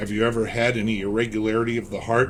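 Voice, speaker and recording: A man puts on a character voice at a medium pitch, talking at a very fast pace. Clear background noise can be heard. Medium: read story. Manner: measured, clinical.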